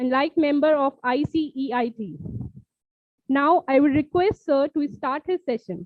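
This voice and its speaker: A woman with a high voice speaks fairly slowly, her pitch varying in an ordinary way. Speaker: faculty event host. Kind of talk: formal speaker introduction. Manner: formal. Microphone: weak voice on call.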